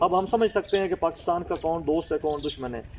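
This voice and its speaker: Noticeable background noise sits behind this man. He speaks at a moderate pace with a high pitch. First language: Punjabi (speaking Hindi). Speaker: language activist. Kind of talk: interview answer. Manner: formal.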